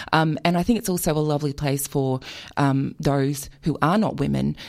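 Here is a woman with an Australian accent. She speaks at a fairly quick pace. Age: 40s. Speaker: author. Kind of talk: radio interview.

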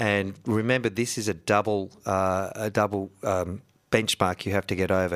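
A man with an Australian accent speaks at a fairly low pitch. The recording is very clean with a silent background and a dry, close sound with no echo. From north-east Victoria, Australia. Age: 50s. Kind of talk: radio interview. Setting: radio studio.

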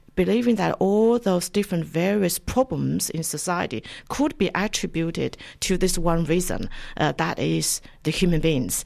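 On a very clean recording with a silent background, a woman with a Chinese accent speaks at a fairly low pitch with ordinary pitch variation. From China. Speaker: academic, lecturer in Chinese studies. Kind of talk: radio interview. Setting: radio studio.

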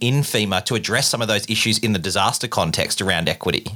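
Very fast and bright with a sharp tone, a man speaks fairly low in pitch with an Australian accent. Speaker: podcast host. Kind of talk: interview.

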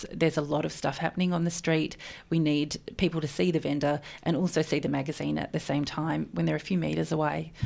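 Speaking very fast with an Australian accent, a woman uses a very deep, low pitch, vocal fry, and fairly even intonation. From Melbourne, Australia. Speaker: magazine editor. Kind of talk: radio interview. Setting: radio studio.

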